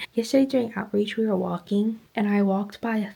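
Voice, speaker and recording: Whispering in a somewhat breathy way, a woman speaks at a moderate pace. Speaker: vlogger, new mom. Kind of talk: casual vlog monologue. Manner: chatty.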